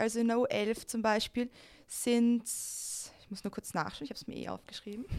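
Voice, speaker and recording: Woman with a high pitch and big swings in loudness. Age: 20s. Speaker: flag football player and youth coach. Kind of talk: interview.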